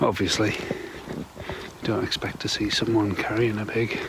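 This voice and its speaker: Over noticeable background noise, a man speaks in a medium pitch with an English accent. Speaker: camping vlogger. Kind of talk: casual vlog. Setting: at home; outdoors. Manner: whispering.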